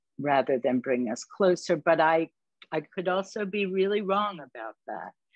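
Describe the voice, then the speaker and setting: Pitched fairly low, a woman speaks at a moderate pace in a plain, everyday voice. Her intonation is lively. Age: 60s. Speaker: clown performer and panelist. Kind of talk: online panel discussion.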